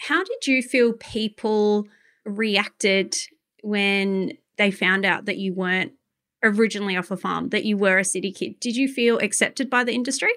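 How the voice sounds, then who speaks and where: On a very clean recording with a silent background, a woman in an Australian accent speaks at a moderate pace in a medium pitch with ordinary pitch variation. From Adelaide, Australia. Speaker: podcast host. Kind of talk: casual interview chat.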